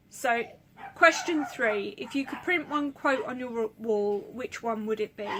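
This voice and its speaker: Lively in intonation, a woman with a high pitch speaks at a fairly slow pace over noticeable background noise. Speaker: book vlogger. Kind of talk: casual monologue. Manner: halting.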